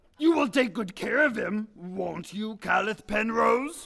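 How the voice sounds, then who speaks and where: A man's put-on character voice, high in pitch, with lively intonation and a fairly slow pace. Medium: stage play.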